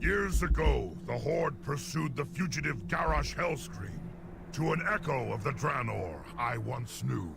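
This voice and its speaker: A man puts on a character voice at a moderate pace. Loud background noise runs behind him. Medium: video game. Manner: formal, measured.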